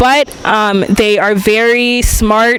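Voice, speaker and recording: Fairly high-pitched female speech, its intonation fairly even, with noticeable noise in the background. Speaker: English teaching assistant. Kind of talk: interview.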